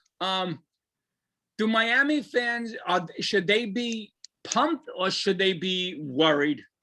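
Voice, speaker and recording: A man's raised, projected voice, high-pitched and very slow, bright and sharp in tone, with lively intonation and a New York accent. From New Jersey (Garfield). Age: 50s. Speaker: sports podcast host. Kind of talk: casual chat.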